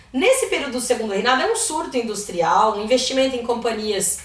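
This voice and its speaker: A woman speaks at a fairly quick pace and a high pitch, her pitch swinging very widely, with audible room echo and noticeable background noise. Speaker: history teacher. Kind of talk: lecture. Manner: fast.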